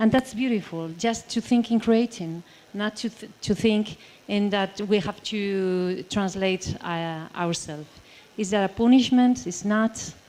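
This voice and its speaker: A woman with a Basque accent talks at a fairly slow pace in a medium pitch with ordinary pitch variation. Her tone is dark and mellow. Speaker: writer and translator. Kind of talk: panel discussion. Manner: halting.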